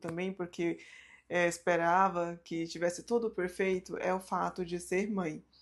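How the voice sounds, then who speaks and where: A woman at a moderate pace, in a very clean recording with a silent background. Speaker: YouTuber on mindset and personal finance. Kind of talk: personal vlog talk to camera.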